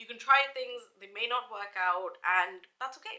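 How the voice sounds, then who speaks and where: A high-pitched woman with a British accent and a bright, sharp tone. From India, then the UK. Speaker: lifestyle YouTuber. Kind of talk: casual vlog monologue. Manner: hesitant, many fillers.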